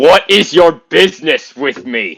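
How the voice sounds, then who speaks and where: A man does a put-on character voice at a fairly high pitch, with very wide pitch swings. He delivers it at a fairly slow pace. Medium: actual play. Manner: gruff, dramatic.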